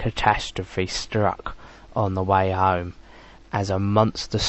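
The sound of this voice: A reading voice, unforced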